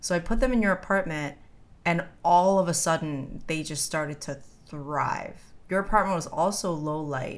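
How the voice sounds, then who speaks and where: A woman speaks at a moderate pace in a normal speaking voice, her fairly low pitch showing ordinary variation. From New York City (Brooklyn, Bensonhurst). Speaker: podcast co-host. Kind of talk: casual chat.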